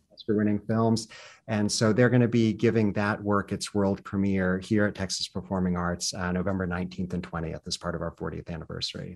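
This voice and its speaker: In a plain, everyday voice, a man with an American accent speaks at a fairly low pitch and a fairly quick pace. His intonation stays fairly even over a quiet background. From US South, southwestern Virginia Appalachia. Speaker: performing arts center director. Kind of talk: interview.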